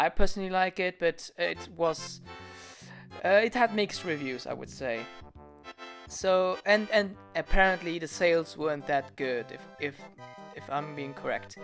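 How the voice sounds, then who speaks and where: Over music in the background, a man with a non-native accent talks at a high pitch with lively intonation and long, frequent pauses. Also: moderate pace, big swings in loudness. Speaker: animator and video creator. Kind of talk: casual Q&A talk to camera.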